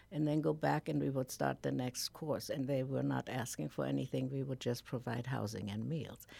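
The speech runs at a moderate pace with hardly any pauses. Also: woman. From Germany. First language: German. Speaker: nonprofit founder. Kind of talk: radio interview. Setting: studio.

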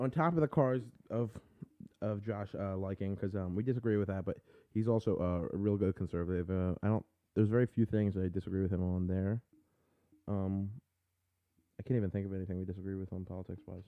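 A man talks at a very fast pace with a fairly low pitch. His intonation is fairly even, broken by long, frequent pauses. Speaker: livestream host. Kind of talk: casual chat. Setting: live video stream. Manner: fast talker.

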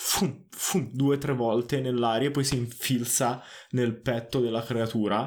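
The reading aloud is plain, with intonation that stays fairly even.

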